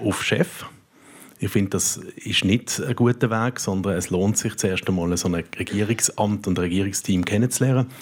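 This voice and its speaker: A man's fairly low voice, an unremarkable speaking voice at a moderate pace with ordinary pitch variation. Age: 40s. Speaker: politician. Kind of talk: panel debate. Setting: stage with audience.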